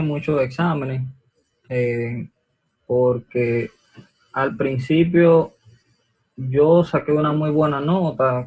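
A somewhat breathy man with a fairly high pitch, ordinary pitch variation, a very slow pace and long, frequent pauses. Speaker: medical student. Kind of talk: interview.

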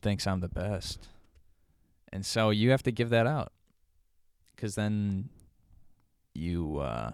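Over a very clean recording with a silent background, a man with an American accent and a fairly low pitch speaks at a fairly slow pace, leaving long, frequent pauses. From Joliet, Illinois. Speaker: podcast co-host. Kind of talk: casual chat. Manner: quiet.

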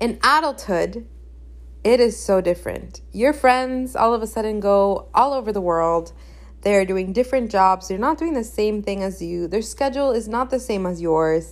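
A woman's medium-pitched voice with lively intonation at a moderate pace, music playing in the background. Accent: Spanish. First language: Spanish. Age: 20s. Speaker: podcast host. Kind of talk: casual monologue.

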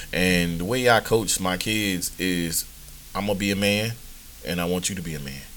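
This man has a very deep, low pitch and an American accent. His pitch varies in an ordinary way. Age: 40s. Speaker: podcast host and youth coach. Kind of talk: casual monologue. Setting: live stream. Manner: relaxed, many fillers.

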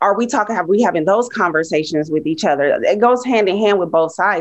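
This is a woman with a plain, everyday voice. Her pitch varies in an ordinary way. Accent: American. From Los Angeles. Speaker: podcast panel guest. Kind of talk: casual chat.

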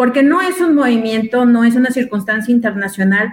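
A woman's fairly high voice with a Mexican accent. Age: 40s. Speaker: feminist activist. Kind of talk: panel discussion.

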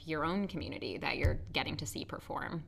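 A woman with an American accent speaks at a fairly quick pace in a bright, sharp tone with vocal fry. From New Jersey, US. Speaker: community theater actor. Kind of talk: casual interview.

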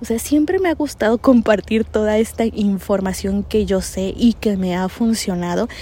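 This woman has a dark, mellow tone and a medium pitch. She speaks at a moderate pace with ordinary pitch variation. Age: 30s. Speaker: podcast host. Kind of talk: solo monologue.

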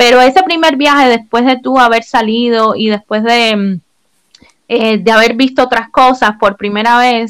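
A woman's plain, everyday voice, fairly high in pitch, with ordinary pitch variation and a fairly slow pace. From Cuba. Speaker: podcast co-host. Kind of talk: casual chat.

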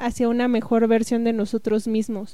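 A woman talks at a moderate pace in a fairly high voice with a dark, mellow tone. Her intonation is monotone and flat, and the recording is very clean with a silent background. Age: 20s. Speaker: podcast co-host. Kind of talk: casual podcast introduction.

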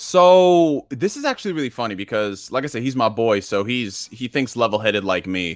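An energetic tone with lively intonation, hardly any pauses, and a moderate pace, in a very clean recording with a silent background. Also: man, medium pitch for a man. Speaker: gaming YouTuber. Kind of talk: casual chat. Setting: live stream.

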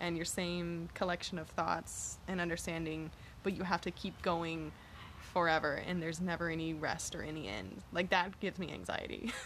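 With an American accent and vocal fry, a woman speaks at a fairly low pitch and a moderate pace. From Texas, Galveston. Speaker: coworker of host. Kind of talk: casual chat.

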